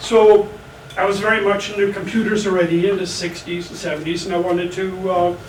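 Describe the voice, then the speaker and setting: There is audible room echo and noticeable background noise as a man speaks at a moderate pace. His pitch is high, with ordinary variation. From Germany, then rural Minnesota from age 10. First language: German. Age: 70s. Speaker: army veteran. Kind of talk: personal storytelling. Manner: casual with frequent fillers.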